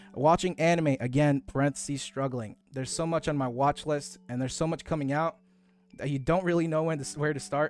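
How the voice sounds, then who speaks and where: With music in the background, a man speaks at a fairly quick pace, his fairly high pitch held in fairly even intonation. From Mexican-American, US East Coast. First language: Spanish. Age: 20s. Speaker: VTuber streamer. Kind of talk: casual live stream self-introduction.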